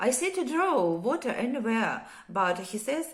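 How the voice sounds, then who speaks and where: A woman's voice moves through very wide pitch swings amid noticeable background noise. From Ukraine. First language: Ukrainian or Russian. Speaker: war survivor telling her story. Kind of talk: personal testimony. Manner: halting, many hesitations.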